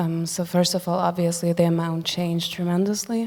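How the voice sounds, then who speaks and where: A woman's fairly low, monotone, flat voice with a Ukrainian accent. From Germany, Ukrainian family. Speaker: musician. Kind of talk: panel discussion. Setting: stage with audience.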